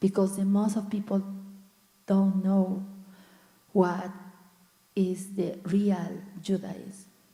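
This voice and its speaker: Speaking very slowly at a medium pitch, a somewhat breathy woman keeps a flat monotone and leaves long, frequent pauses. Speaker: congregant. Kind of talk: group discussion comment. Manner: halting.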